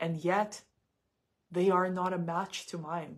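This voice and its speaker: Over a quiet background, a woman with a Russian accent speaks at a fairly low pitch with monotone, flat intonation. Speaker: psychic tarot reader. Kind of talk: live stream psychic reading monologue. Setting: live stream. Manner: halting, many repetitions and fillers.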